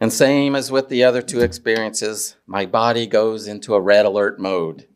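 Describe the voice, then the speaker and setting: A man with a fairly low pitch speaks at a fairly slow pace on a very clean recording with a silent background. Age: 60s. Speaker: minister. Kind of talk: sermon. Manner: halting.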